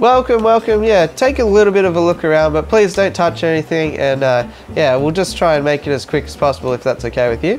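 A man speaks at a very fast pace with very wide pitch swings. Light background noise is present. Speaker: comedy creator playing roles. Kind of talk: comedy sketch dialogue. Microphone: lapel.

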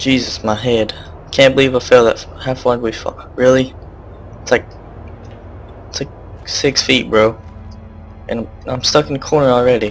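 Over music in the background, a man speaks in a monotone, flat intonation at medium pitch and moderate pace, leaving long, frequent pauses. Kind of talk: casual video game commentary.

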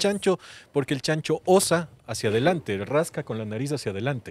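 A man is speaking. The sound is dry, with no echo. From Ecuador, Quito (Chillogallo); Ecuador. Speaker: chef; guest. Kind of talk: casual conversation. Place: garden. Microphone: studio mic.

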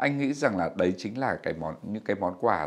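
A man delivers his words at a fairly quick pace, his intonation lively. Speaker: writer; guest. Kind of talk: casual chat. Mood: calm, warm advice. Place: studio.

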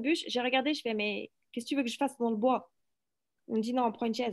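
A woman with a southeastern French accent, ordinary pitch variation and a quiet background. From France. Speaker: workshop participant; teacher. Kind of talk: casual chat. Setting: video call. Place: classroom. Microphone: video call.

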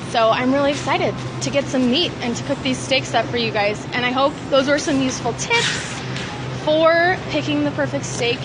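A woman talks at a fairly quick pace with noticeable background noise. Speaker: food blogger. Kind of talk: casual vlog chat. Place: shop. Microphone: phone near.

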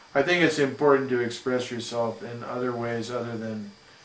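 There is audible room echo as a man with an American accent talks at a moderate pace, his intonation fairly even but his loudness swinging widely. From US Midwest, St. Louis, Missouri; Missouri. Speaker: jazz trombonist and composer; interviewee. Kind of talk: interview. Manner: halting. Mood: calm, thoughtful.

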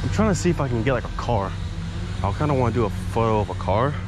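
A man speaks at a fairly quick pace with ordinary pitch variation, his voice dry with no echo over noticeable background noise. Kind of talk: casual vlog chat. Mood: relaxed, self-conscious, laughing. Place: street. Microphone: phone near.

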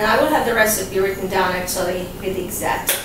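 A woman at a moderate pace, with audible room echo and clear background noise

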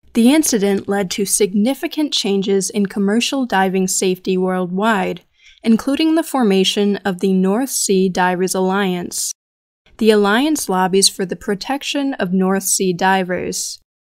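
At a fairly slow pace, a woman with a normal speaking voice talks in a medium pitch with ordinary pitch variation, on a very clean recording with a silent background. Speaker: podcast narrator. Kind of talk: true-crime documentary narration. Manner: grave, measured and somber; steady, deliberate, matter-of-fact.

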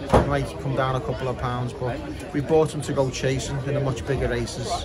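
A man speaks at a moderate pace. Crowd noise can be heard behind him. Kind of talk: casual vlog update. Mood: mildly disappointed, upbeat. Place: stadium. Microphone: phone near.

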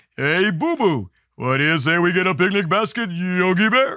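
In a very clean recording with a silent background, a put-on character voice speaks at a moderate pace. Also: man, high pitch for a man. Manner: cartoonish, imitating a cartoon voice.

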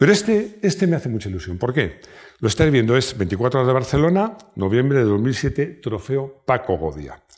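Over a quiet background, a man of medium pitch speaks at a moderate pace, with very wide pitch swings. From Spain. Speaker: YouTube car channel host. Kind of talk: casual personal talk to camera. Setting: at home. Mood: warm, proud, nostalgic. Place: home room. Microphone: lapel.

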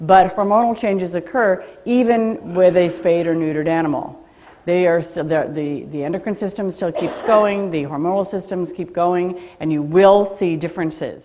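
A woman speaks at a moderate pace in a normal speaking voice, her pitch fairly low with ordinary pitch variation. Light background noise sits underneath. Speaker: presenter. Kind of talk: lecture. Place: classroom. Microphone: headset.

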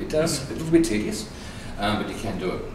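A man speaks at a very fast pace. Noticeable background noise and audible room echo fill the recording. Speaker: cooking demonstrator. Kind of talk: tutorial. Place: kitchen. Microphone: camera far.

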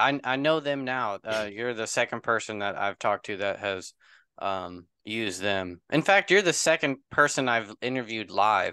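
Over a quiet background, a man speaks at a moderate pace with hardly any pauses, in a medium pitch with ordinary pitch variation. His tone is bright and sharp, and the sound is dry with no echo. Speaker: YouTube channel host. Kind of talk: casual interview. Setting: video call. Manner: halting. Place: home room. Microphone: studio mic.

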